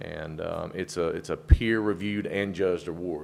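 A moderate pace in a strong Southern US accent, on a very clean recording with a silent background. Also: man. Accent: deep Southern. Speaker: campground owner. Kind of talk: public address at a council meeting. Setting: county commissioners' meeting room. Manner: halting, many fillers.

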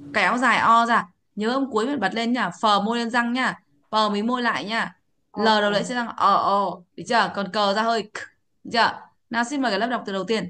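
A woman speaks at a moderate pace with a bright, sharp, animated tone. Her pitch varies in an ordinary way, and she takes long, frequent pauses. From Vietnam. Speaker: English pronunciation teacher. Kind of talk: online class lesson. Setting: video call. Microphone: video call.

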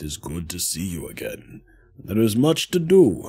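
Moderate pace and medium pitch in a man's put-on character voice. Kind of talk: video game playthrough with character voices.

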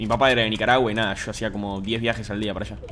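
A man with a fairly low pitch and a fairly bright tone, at a very fast pace. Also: fairly even intonation.

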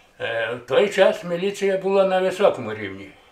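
A man talks at a moderate pace. There is audible room echo. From Hutsul region, Ukrainian Carpathians. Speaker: retired policeman. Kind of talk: interview answer. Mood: calm reminiscing. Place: home room.

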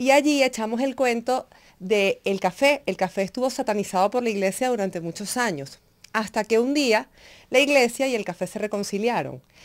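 Over a quiet background, a woman speaks at a moderate pace with an animated tone. Her fairly high voice has lively intonation. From Venezuela, Upata (Bolívar state); Bolívar, Venezuela. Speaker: chocolate journalist and business owner; interview guest. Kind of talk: radio interview. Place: studio. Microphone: studio mic.

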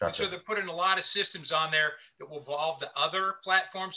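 A man talks in a raised, projected voice with ordinary pitch variation. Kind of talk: interview answer. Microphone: video call.

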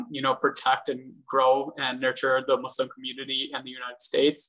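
A man speaks at a fairly quick pace with a bright, sharp tone and monotone, flat intonation. The background is quiet. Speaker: vice chair of mentorship at a bar association. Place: home room. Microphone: video call.

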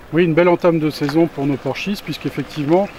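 A man's fairly even intonation and moderate pace come through light background noise. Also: dry sound with no echo. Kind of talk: interview answer. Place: open country.

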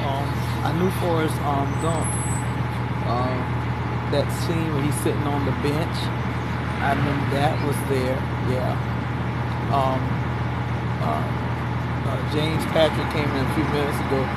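Over loud background noise, a woman with an American accent speaks with long, frequent pauses. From US South. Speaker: video blogger. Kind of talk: casual vlog. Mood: pleased, relaxed. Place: bus. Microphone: phone near.

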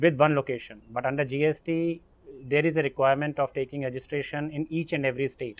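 This man keeps a moderate pace. Fairly even intonation marks his delivery. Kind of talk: interview answer. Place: garden.

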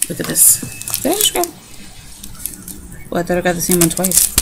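Fairly low female voice with vocal fry and big pitch swings at a moderate pace, over faint background noise.

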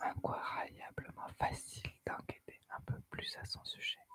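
Very slowly, a woman whispers her words. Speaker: ASMR storyteller. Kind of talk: horror story narration. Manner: soft-spoken. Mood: eerie, suspenseful. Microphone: studio mic.

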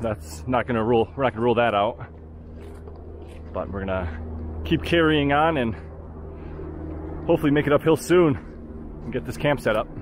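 A man at a fairly quick pace, dry sound with no echo, light background noise. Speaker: outdoor vlogger. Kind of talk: casual vlog chat. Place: forest. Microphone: phone near.

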